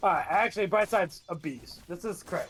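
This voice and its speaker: The voice is loud. It moves at a fairly quick pace. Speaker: esports caster. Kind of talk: live commentary. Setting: live stream.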